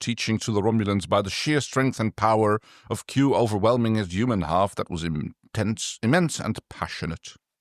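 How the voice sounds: A natural reading voice moves with ordinary pitch variation.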